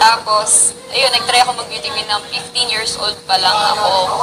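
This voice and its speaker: With music in the background, a woman talks fairly fast, her intonation lively. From Quezon province, Philippines. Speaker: reality show contestant, beauty queen and model. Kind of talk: casual storytelling. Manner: talkative.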